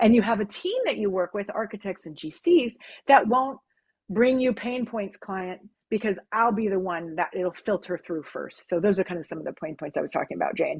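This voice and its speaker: Against a quiet background, a woman at a medium pitch speaks at a fairly quick pace with lively intonation. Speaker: business development consultant for design firms. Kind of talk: webinar Q&A. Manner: fast; animated.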